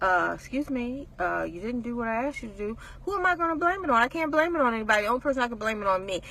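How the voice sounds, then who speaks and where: At a very fast pace, a woman talks in an animated tone with a high voice and very wide pitch swings, over noticeable background noise. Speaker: faith-based motivational speaker. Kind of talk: inspirational talk to camera.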